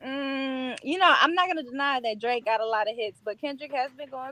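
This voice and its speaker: A woman with a high pitch and an American accent, her voice raised and projected, at a fairly quick pace. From US Midwest, Kansas City, Missouri. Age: 20s. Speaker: hip hop artist. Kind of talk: casual interview. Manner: laid-back.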